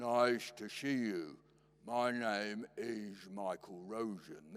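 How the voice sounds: A man's put-on character voice, medium in pitch, at a very slow pace with ordinary pitch variation.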